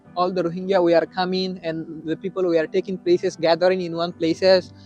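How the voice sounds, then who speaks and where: A man's high-pitched voice over music in the background. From Rakhine State, Myanmar. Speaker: Rohingya refugee and university student. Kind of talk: interview answer.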